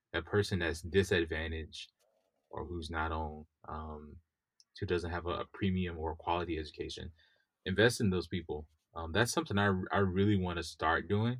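A man's very deep, low, somewhat breathy voice at a moderate pace with fairly even intonation, on a very clean recording with a silent background. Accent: American. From US South, Mississippi. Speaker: software engineer. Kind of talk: interview.

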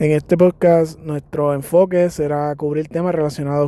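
A man speaks in a Puerto Rican accent at a moderate pace. His fairly high voice keeps a monotone, flat intonation. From Puerto Rico, San Germán. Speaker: podcast host, physical education teacher. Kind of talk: podcast monologue introduction. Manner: hesitant with fillers.

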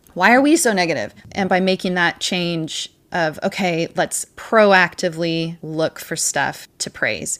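Fairly low in pitch, a woman speaks with a General American accent in an ordinary speaking voice. The recording is very clean, with a silent background, and her pitch varies in an ordinary way. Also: fairly slow pace. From US Pacific Northwest, Washington State. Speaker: homeschooling mother. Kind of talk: casual chat.

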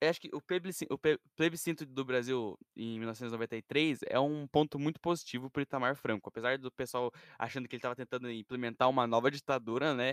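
A man with a medium pitch and an unremarkable speaking voice talks at a fairly quick pace with hardly any pauses and ordinary pitch variation. The sound is dry and close with no echo, in a very clean recording with a silent background. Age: young. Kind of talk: casual chat.

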